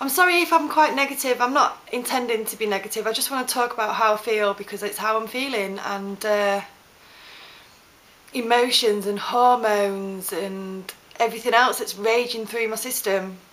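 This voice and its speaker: A woman with a fairly high pitch and ordinary pitch variation talks at a moderate pace while noticeable background noise carries on behind her. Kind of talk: casual talk to camera. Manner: hesitant, stuttering.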